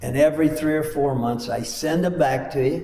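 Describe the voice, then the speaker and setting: A man at a fairly slow pace with ordinary pitch variation, noticeable background noise and audible room echo. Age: 80s+. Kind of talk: talk to a men's group.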